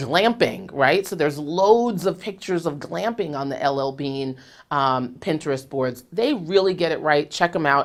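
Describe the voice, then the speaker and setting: Animated in tone, a woman speaks at a moderate pace with very wide pitch swings. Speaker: marketing consultant. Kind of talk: tutorial.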